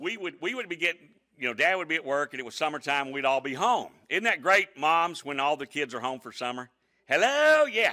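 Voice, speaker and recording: Loud and bright with a sharp tone, a man's fairly high voice carries lively intonation. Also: fairly quick pace. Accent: American. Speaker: pastor. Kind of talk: sermon. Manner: animated.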